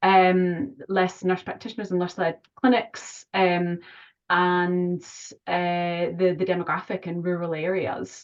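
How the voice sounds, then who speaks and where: A woman with a Scottish accent speaks fairly slowly at a fairly low pitch, her intonation fairly even. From Scotland. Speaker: general practitioner. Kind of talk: online clinical discussion.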